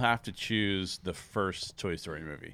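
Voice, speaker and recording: A man speaks at a moderate pace in a bright, sharp tone, on a very clean recording with a silent background. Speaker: podcast host. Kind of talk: casual podcast chat.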